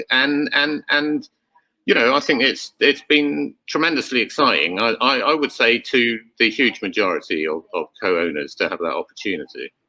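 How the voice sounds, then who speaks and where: Speech moves at a moderate pace. The sound is dry and close, with no echo. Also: man. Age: 60s. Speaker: company founder. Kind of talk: panel interview. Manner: hesitant, many fillers and repetitions.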